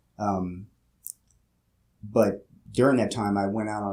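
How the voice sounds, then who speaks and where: With a Pennsylvania accent, a man talks at a moderate pace in a fairly low voice with a dark, mellow tone. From Louisiana, then Philadelphia. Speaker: police officer. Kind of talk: casual interview. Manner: halting, many fillers.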